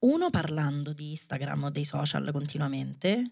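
A woman speaks with a very deep, low pitch. The background is quiet. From Rome, Italy; Italy. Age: 30s. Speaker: dancer and choreographer; podcast guest. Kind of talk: casual chat. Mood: thoughtful, engaged. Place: studio. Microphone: studio mic.

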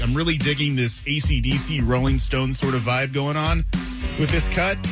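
A man talks at a fairly quick pace over clear background music, the sound dry with no echo. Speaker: country radio DJ. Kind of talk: country radio aircheck, on-air DJ patter. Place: studio. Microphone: studio mic.

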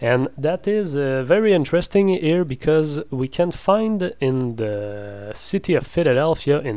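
With a French Canadian accent, a man speaks at a very slow pace with lively intonation. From French Canada. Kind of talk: casual talk to camera. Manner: hesitant, many fillers.

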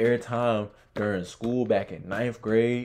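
A man's voice, dark and mellow in tone, moves at a fairly slow pace. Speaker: reaction video host. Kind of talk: casual reaction commentary. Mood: amused, laughing.

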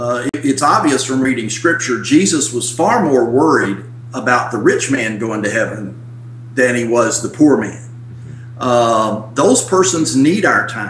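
A man speaks with medium pitch and ordinary pitch variation. His pace is fairly slow, with noticeable background noise. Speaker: church stewardship consultant, former pastor. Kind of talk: interview. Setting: video call. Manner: animated.

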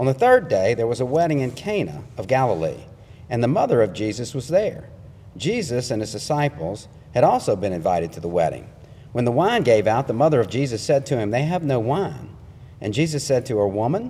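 Vocal fry marks a man's dark, mellow tone. His pitch swings very widely. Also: fairly quick pace. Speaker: preacher. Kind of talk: sermon. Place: church.

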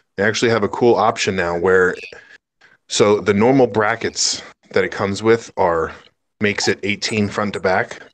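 A man's normal speaking voice, fairly low in pitch, at a moderate pace. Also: fairly even intonation. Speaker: reef aquarium hobbyist. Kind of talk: casual chat. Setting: video call. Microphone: video call.

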